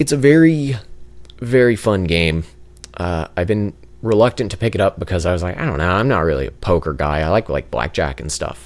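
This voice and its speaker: Quiet and fairly quick, a man speaks in a very deep, low voice that makes very wide pitch swings. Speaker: gaming youtuber. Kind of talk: gameplay commentary.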